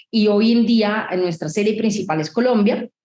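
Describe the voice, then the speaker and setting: A woman with a medium pitch and a somewhat breathy voice speaks at a moderate pace. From Italy. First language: Italian (speaking Spanish). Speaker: tech company founder and CEO. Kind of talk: interview.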